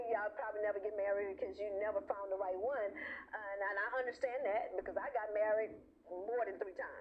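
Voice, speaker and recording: A woman talks at a very fast pace in an animated tone. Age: 60s. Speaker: talk show host. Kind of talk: live talk show monologue. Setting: live stream.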